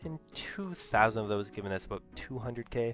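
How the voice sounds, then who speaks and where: With music in the background, a man at a fairly low pitch talks at a very fast pace with ordinary pitch variation. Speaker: gaming video creator. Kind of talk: casual gameplay commentary.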